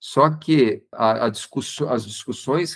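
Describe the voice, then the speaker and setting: Speaking fairly slowly, a man uses an unremarkable speaking voice with ordinary pitch variation. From Santo André, São Paulo state, Brazil. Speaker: designer and university professor. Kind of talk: casual interview chat.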